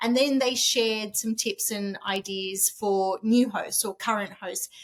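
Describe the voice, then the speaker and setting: A woman with an Australian accent speaks at a moderate pace, her fairly high pitch showing ordinary variation. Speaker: author and short-term rental host. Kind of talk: podcast interview. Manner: halting, many false starts.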